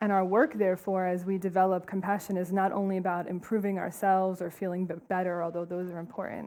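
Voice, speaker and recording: A woman speaks in an East Coast American accent at a fairly quick pace, her tone dark and mellow. Her intonation is monotone and flat, and the recording is very clean with a silent background. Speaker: compassion trainer, nonprofit co-founder. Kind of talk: conference talk. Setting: stage with audience. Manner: fast.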